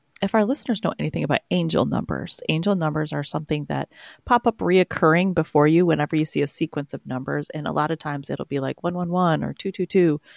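Marked by vocal fry and lively intonation, the voice comes through dry and close with no echo in a very clean recording over a silent background. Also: woman. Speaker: podcast co-host. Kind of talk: casual chat.

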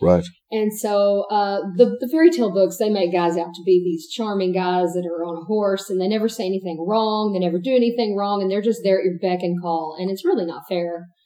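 A woman talks in a Texan accent. Her pitch is medium, with ordinary variation. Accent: Texan Southern US. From East Texas. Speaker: married guest sharing her marriage story. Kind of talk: interview.

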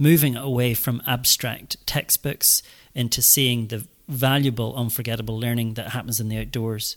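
With a Northern Irish accent, a man speaks at a moderate pace and medium pitch, his intonation fairly even and the sound dry and close with no echo. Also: very clean recording, silent background. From Northern Ireland, rural. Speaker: school headmaster. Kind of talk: interview. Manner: halting, many fillers and repeats.

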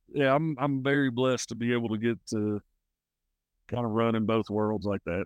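Speaking with a Southern US accent, a man keeps a medium pitch, a moderate pace and fairly even intonation. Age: 30s. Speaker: country singer. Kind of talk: casual chat. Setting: outdoors.

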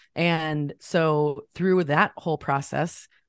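With an American accent, a woman speaks in an animated tone at a fairly low pitch, the sound dry and close with no echo against a quiet background. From US Midwest, central Illinois. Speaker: photographer and coach. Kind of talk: interview testimony. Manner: animated, frequent giggles.

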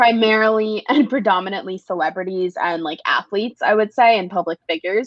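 In an ordinary speaking voice, a woman with an American accent talks at a fairly quick pace and medium pitch, with ordinary pitch variation and big swings in loudness. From New York City, the Bronx. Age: 20s. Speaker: social media influencer. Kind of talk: casual chat.

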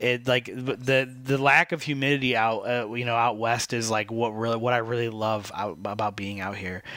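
Moving at a moderate pace with hardly any pauses, a man of medium pitch talks with fairly even intonation and a bright, sharp tone. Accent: American. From Michigan. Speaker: podcast co-host. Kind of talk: casual chat.

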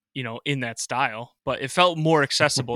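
On a very clean recording with a silent background and a dry, close sound with no echo, a man with an American accent speaks at a moderate pace in a bright, sharp tone with fairly even intonation. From Western New York (Rochester). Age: 30s. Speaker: podcast host. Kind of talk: interview.

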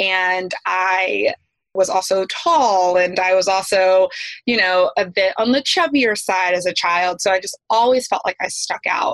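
A woman with an American accent speaks at a fairly slow pace in a normal speaking voice. Her pitch is medium with ordinary variation, and the sound is dry and close with no echo. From US South, East Tennessee. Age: 30s. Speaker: educator and yoga instructor. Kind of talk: interview conversation.

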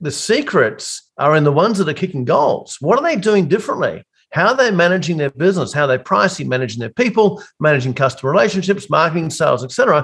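Very fast talk in an Australian accent, with very wide pitch swings and hardly any pauses. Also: man, high pitch for a man. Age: 50s. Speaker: business coach for accounting firms. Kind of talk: casual interview.

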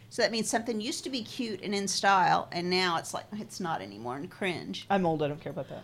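Vocal fry runs through very fast speech with hardly any pauses. The intonation is lively. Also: woman, medium pitch for a woman. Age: 50s. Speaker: podcast co-host. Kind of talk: casual chat.

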